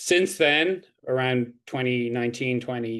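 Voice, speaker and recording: A man speaks with an Irish accent at a medium pitch. His pace is moderate. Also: quiet background. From Ireland. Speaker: PhD candidate, criminology researcher. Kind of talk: academic presentation.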